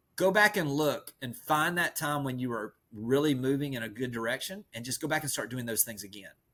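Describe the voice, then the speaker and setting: A man's medium-pitched voice with a Southern US accent, bright and sharp in tone, animated, at a moderate pace, on a very clean recording with a silent background. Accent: Southern rural. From rural US South. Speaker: real estate coach. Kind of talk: podcast interview.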